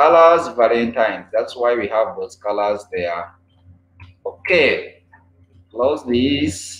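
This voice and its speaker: A man's medium-pitched voice at a very slow pace, with lively intonation, long and frequent pauses, and audible room echo. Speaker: live streamer. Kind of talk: casual live stream chat with viewers. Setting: live stream online. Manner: repeats phrases, halting. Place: home room.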